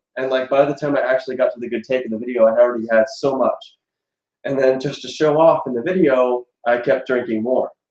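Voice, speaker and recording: Fairly even intonation and a medium pitch carry this man's speech at a very fast pace. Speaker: YouTube singer. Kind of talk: casual chat.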